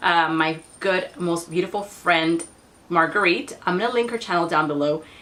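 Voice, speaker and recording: The voice holds a very even loudness at a moderate pace, with ordinary pitch variation and noticeable background noise. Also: woman, fairly low pitch for a woman. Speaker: beauty vlogger. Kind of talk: product review vlog.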